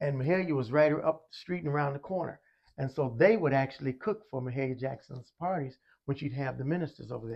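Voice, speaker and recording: Fairly high in pitch, a man with an American accent speaks at a very fast pace. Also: ordinary pitch variation. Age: 60s. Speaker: music educator. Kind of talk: interview. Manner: halting.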